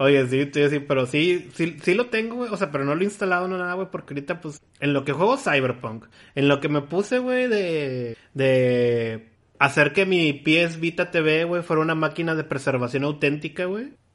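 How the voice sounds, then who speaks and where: Lively in intonation, a man with a Mexican accent talks at a moderate pace and a fairly high pitch. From Mexico, Guadalajara. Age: 30s. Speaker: podcast host. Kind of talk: casual chat.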